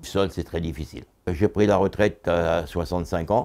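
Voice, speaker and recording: This man's voice sits very deep and low, with a dark, mellow tone. He talks at a moderate pace on a very clean recording with a silent background. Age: 80s+. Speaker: retired supermarket worker. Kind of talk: interview testimony. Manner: halting.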